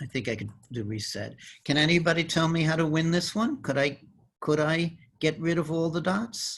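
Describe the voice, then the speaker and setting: This man has a normal speaking voice with an American accent and a fairly high pitch. He moves at a moderate pace with lively intonation. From New York, the Bronx. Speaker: mathematician. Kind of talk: interactive demonstration. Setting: video call.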